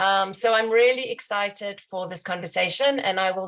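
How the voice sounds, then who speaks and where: With a South African accent, a woman talks at a medium pitch, using ordinary pitch variation. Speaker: bookstore representative. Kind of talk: event introduction.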